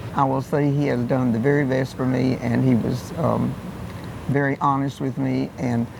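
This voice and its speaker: The talking proceeds at a moderate pace with noticeable noise in the background. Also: man. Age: 80s+. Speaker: law firm client. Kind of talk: client testimonial.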